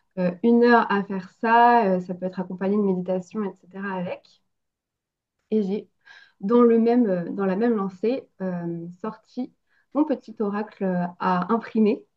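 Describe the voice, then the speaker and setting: Intonation stays fairly even while the words come at a fairly slow pace. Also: woman, medium pitch for a woman. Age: 30s. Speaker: medium. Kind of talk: interview. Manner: hesitant, frequent filler sounds.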